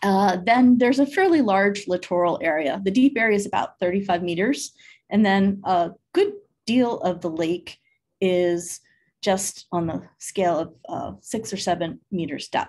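Ordinary pitch variation marks this woman's voice. She speaks at a fairly slow pace. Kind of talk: lecture. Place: office. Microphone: webcam.

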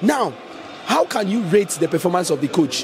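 A man talks at a fast pace with lively intonation. Faint background noise can be heard.

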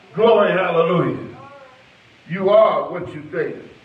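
There is audible room echo around the voice. A man speaks at a high pitch. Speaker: preacher. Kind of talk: sermon delivered to a church congregation, with call-and-response and prayer. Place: church. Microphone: handheld.

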